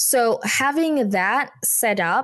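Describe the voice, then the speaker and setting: With an Indonesian accent, a woman speaks using lively intonation. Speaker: communication trainer and consultant. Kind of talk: interview podcast. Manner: laughs often.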